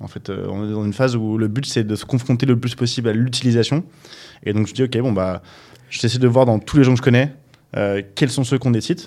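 Fairly even in intonation, a man at medium pitch speaks at a fairly quick pace. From Paris, France. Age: 30s. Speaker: startup founder and CEO. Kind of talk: casual interview chat. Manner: hesitant, many fillers.

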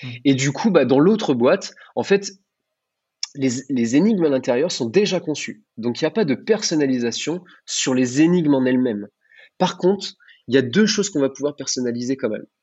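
Long, frequent pauses break up this man's speech at a moderate pace. His pitch sits fairly high, with lively intonation. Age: 30s. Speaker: wedding entertainment provider. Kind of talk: interview. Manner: halting, many fillers.

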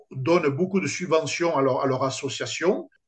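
A man speaks with a somewhat breathy voice. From France, Toulouse. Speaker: sports complex entrepreneur. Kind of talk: interview. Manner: halting.

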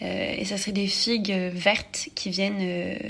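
Noticeable background noise fills the recording. Over it, a woman talks at a medium pitch. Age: 20s. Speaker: architect, listener. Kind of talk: recorded listener message.

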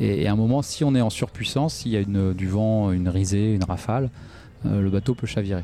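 This man's voice has a dark, mellow tone and fairly low pitch. He talks at a fairly quick pace. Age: 40s. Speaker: professional solo sailor. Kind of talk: interview. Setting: on a boat in a marina. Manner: hesitant.

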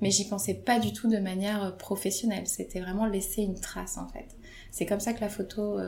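Amid audible room echo, a woman speaks at a moderate pace and medium pitch with fairly even intonation. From Paris suburbs, France. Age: 30s. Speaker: photographer. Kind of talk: interview.

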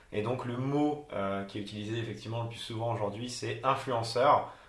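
A man speaks at medium pitch and a moderate pace with fairly even intonation. Noticeable background noise and audible room echo fill the recording. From France, Haute-Loire (Auvergne). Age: 20s. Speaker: travel blogger. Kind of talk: interview.

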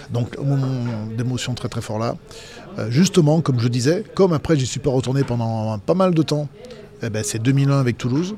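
Music plays in the background as a man of medium pitch speaks with lively intonation. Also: moderate pace. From Dauphiné, France (Vienne). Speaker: former rugby player and pundit. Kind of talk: casual interview. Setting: restaurant.

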